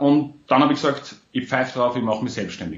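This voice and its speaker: Speaking at a fairly quick pace, a man with an Austrian accent has a medium-pitched voice. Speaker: entrepreneur. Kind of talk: interview.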